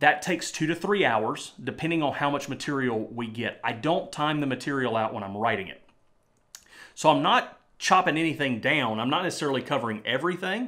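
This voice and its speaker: A bright, sharp voice with lively intonation moves at a fairly quick pace on a very clean recording with a silent background. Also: man, fairly high pitch for a man. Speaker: YouTuber and Bible teacher. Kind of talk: casual vlog talk. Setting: home studio.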